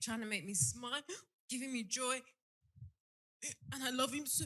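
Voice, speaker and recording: A woman speaks in a London accent with a bright, sharp tone and high pitch. Her pace is moderate and her pitch variation ordinary. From South London, Peckham. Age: 30s. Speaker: audience member. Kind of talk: emotional tribute. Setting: live show in a theatre with audience. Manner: halting.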